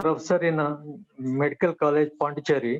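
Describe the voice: The voice belongs to a man and is fairly high in pitch. His intonation stays fairly even.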